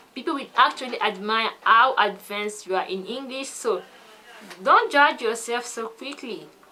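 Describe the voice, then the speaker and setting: The speaker talks at a moderate pace in a French accent. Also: woman. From French-speaking country. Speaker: English learning vlogger. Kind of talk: casual vlog talk.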